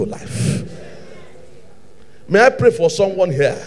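This is a man speaking. His pace is very slow. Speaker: preacher. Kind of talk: sermon. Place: church. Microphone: handheld.

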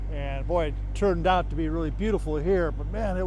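Over light background noise, a man's voice comes through dry, with no echo. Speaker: sailor vlogger. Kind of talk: casual vlog chat. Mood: relaxed, relieved.

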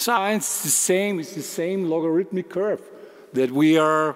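A man talks at a fairly slow pace in a high pitch, with ordinary pitch variation. The background is quiet. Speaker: research firm director; conference speaker. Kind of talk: conference talk. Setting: large room with audience. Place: hall.

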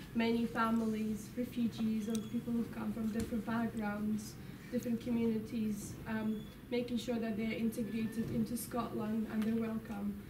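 With noticeable background noise, a woman talks at a moderate pace in a monotone, flat voice. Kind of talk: informal talk to an audience. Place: classroom. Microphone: camera far.

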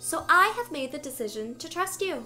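Over faint music in the background, a woman performs a put-on character voice with a high pitch. Her tone is bright and sharp, and her intonation is lively. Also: moderate pace.

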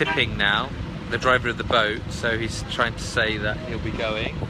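Speech comes at a moderate pace over loud background noise. The sound is dry, with no echo. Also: man. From Britain. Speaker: video blogger; travel vlogger. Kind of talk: live stream chat. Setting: outdoors by a river. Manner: casual, with many fillers. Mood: cheerful, excited. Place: waterside. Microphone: phone near.

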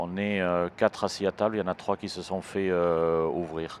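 With light background noise, a man talks at a moderate pace in a very deep, low voice. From southern France. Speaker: cybersecurity entrepreneur; guest. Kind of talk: interview. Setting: trade show stage. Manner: hesitant, many fillers. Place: hall. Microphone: handheld.

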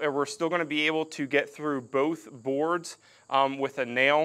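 A man speaks at a fairly slow pace in a bright, sharp tone. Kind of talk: tutorial. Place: garage.

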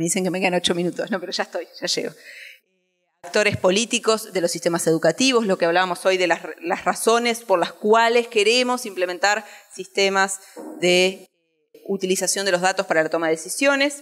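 Ordinary pitch variation at a fairly quick pace over a quiet background. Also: woman. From Uruguay. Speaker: education researcher and teacher presenting a study; conference presenter. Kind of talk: conference presentation. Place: hall.

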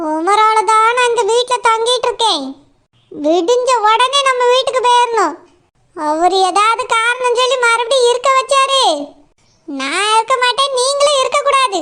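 This woman uses a cartoonish character voice at an extremely high pitch. She talks at a fairly slow pace with very even loudness. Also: ordinary pitch variation. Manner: curt, suspicious, bossy.

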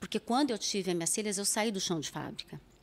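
Woman's voice with ordinary pitch variation. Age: 50s. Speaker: psychologist and psychoanalyst; psychoanalyst. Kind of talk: interview conversation. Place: studio. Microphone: studio mic.

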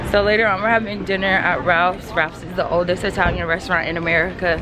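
Over music in the background, a woman talks at a very fast pace. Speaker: travel vlogger. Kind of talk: casual vlog chat. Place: street. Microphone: phone near.

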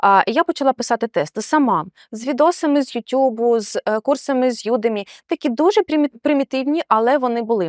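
Recorded very cleanly against a silent background, with a dry, close sound and no echo, a woman with a high pitch talks at a fairly quick pace with lively intonation. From Ukraine, Odesa region. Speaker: QA automation tester. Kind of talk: interview. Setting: in person in Warsaw.

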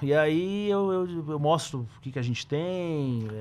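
A man is speaking. His intonation is lively. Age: 30s. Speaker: trader and investment analyst; investment analyst. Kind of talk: casual interview chat. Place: studio. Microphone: studio mic.

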